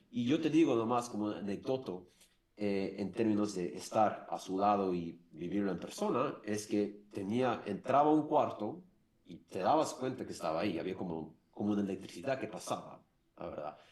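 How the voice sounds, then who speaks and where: A man with a non-native accent, fairly low pitch and lively intonation. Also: moderate pace. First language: English (speaking Spanish). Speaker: former marketing director. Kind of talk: interview. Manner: halting.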